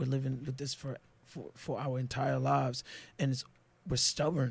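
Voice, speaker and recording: The voice is somewhat breathy, with monotone, flat intonation at a moderate pace. The recording is very clean, with a silent background. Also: man. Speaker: podcast guest. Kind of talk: casual chat.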